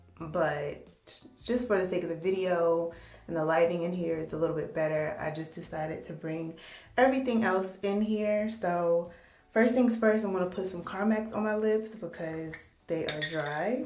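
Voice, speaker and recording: A woman speaks at a moderate pace in a fairly low pitch with ordinary pitch variation. There is audible room echo. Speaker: beauty vlogger. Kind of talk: casual vlog. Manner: casual, hesitant with fillers.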